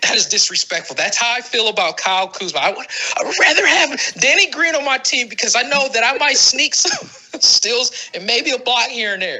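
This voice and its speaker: Noticeable background noise accompanies a voice talking at a moderate pace. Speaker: fantasy basketball podcaster. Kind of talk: casual podcast rant.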